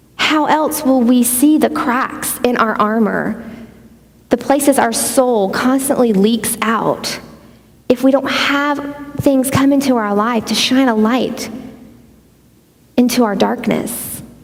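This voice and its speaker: With a Southern US accent, a woman speaks at a very slow pace in a high pitch, her intonation fairly even and her pauses long and frequent, amid audible room echo and noticeable background noise. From US Gulf Coast (Pensacola, Louisiana, Mississippi). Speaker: conference speaker. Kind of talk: sermon.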